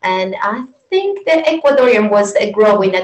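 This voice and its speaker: A woman with a Venezuelan accent speaks at a fairly high pitch with ordinary pitch variation. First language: Spanish. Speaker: yoga teacher. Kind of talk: interview. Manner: halting.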